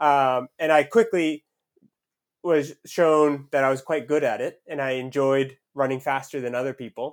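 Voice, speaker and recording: In a plain, everyday voice with an American accent, a man with a fairly high pitch speaks fairly slowly with fairly even intonation. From US, southern Maine. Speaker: professional runner. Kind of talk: casual interview.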